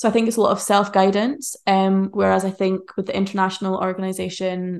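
Against a quiet background, a woman talks at a fairly quick pace with a medium pitch. She has an unremarkable speaking voice and fairly even intonation. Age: 20s. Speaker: charity worker in the humanitarian field. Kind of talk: casual interview chat. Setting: in person at home, living room.

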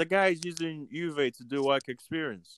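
Moving at a moderate pace, a man's fairly high-pitched voice has a fairly bright, clear, smooth tone and ordinary pitch variation.

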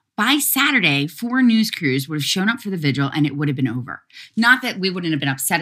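In a very clean recording with a silent background, a woman with a Philadelphia accent speaks in a fairly low pitch, bright and sharp in tone, with very wide pitch swings. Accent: Philadelphia American. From US, Philadelphia. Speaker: activist. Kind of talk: interview.

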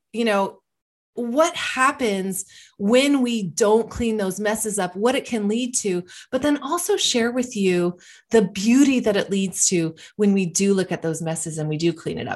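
An unremarkable speaking voice, a woman talks at a moderate pace and fairly high pitch with lively intonation against a quiet background. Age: 50s. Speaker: wellness podcast host. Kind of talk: motivational monologue.

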